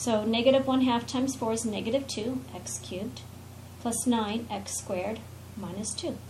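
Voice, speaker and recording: There is audible room echo around a woman speaking at a fairly high pitch. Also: ordinary pitch variation. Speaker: math teacher. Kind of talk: lecture. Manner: fast.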